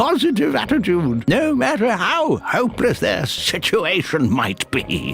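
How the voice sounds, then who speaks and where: A man speaks in a put-on character voice. Clear music plays in the background. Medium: video game. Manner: halting, stuttering, chuckling.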